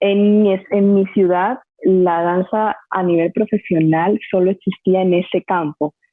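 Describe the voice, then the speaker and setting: This normal speaking voice moves at a fairly slow pace, with very even loudness and fairly even intonation. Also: woman, medium pitch for a woman. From Colombia, Barranquilla (Caribbean coast). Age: 30s. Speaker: dance teacher and dancer. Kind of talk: podcast interview.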